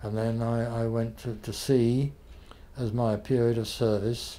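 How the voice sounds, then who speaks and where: A man with a British accent and a dark, mellow tone. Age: 80s+. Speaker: author and former journalist. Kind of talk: interview answer.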